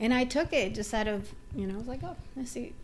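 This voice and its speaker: At a fairly quick pace, a woman with a Dominican accent speaks in a fairly high pitch with ordinary variation. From Dominican Republic. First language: Spanish. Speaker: TV writer. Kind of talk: interview.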